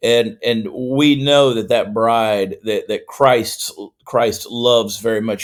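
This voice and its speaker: A man with a Southern US accent at a fairly slow pace, on a very clean recording with a silent background. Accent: Southern US (Georgia). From US South, Augusta, Georgia. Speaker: comedian and political commentator. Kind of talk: podcast interview.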